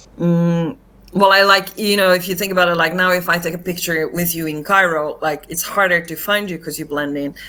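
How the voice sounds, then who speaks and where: A woman with a non-native accent talks at a fairly quick pace. Her fairly low voice has a bright, sharp tone and fairly even intonation. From Finland. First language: not English. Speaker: actress and comedian. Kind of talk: casual interview chat.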